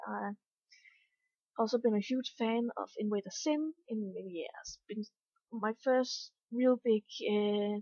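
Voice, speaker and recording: Pitched fairly high, a woman talks with ordinary pitch variation and long, frequent pauses. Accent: Danish. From Denmark. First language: Danish. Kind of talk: casual vlog talk.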